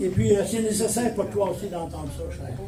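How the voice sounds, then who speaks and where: There is audible room echo and noticeable background noise. Through it, a man speaks with lively intonation. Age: 80s+. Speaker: pastor. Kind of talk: sermon. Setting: church.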